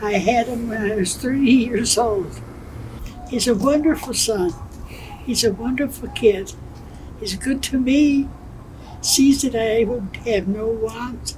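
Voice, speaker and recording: A woman with a fairly high voice talks very slowly, with long, frequent pauses and ordinary pitch variation, over noticeable background noise and audible room echo. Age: 80s+. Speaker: senior living resident. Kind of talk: interview.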